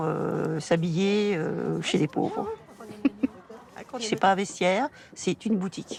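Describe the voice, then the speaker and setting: Over noticeable background noise, a woman with a medium-pitched voice speaks very slowly, with long, frequent pauses. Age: 70s. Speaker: retired charity volunteer. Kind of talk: filmed testimony.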